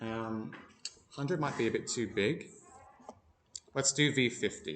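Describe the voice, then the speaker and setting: A man's medium-pitched voice, fairly slow, with lively intonation and audible room echo. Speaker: maths teacher. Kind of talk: classroom lesson. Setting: classroom.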